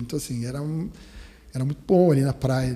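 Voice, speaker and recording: The voice is somewhat breathy and dark, mellow in tone, moving at a very fast pace. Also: man. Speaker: dentist, dental radiologist. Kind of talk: podcast interview. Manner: halting, many restarts.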